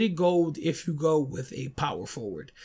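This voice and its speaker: A man is captured in a very clean recording against a silent background. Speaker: gaming YouTuber. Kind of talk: casual video game tutorial. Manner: casual, conversational.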